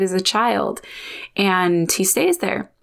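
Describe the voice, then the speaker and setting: On a very clean recording with a silent background, a woman speaks at a medium pitch. Hers is an unremarkable speaking voice with fairly even intonation. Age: 30s. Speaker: podcast host. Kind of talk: casual solo monologue.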